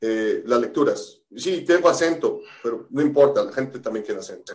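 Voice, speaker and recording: A man at a moderate pace with big swings in loudness. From Mexico. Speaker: pastor. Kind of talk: casual chat. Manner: halting, many repetitions.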